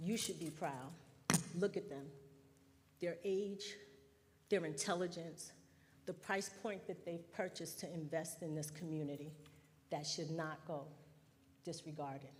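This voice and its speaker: The voice is somewhat breathy and fairly slow, with fairly even intonation and long, frequent pauses, and audible room echo. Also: woman, fairly low pitch for a woman. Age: 60s. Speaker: resident speaking at public hearing. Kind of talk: public comment.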